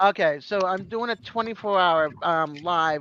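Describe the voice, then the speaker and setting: A woman with an unremarkable speaking voice talks at a fairly slow pace with ordinary pitch variation. The background is quiet. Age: 50s. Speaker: fellow YouTuber joining a livestream. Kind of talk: casual chat.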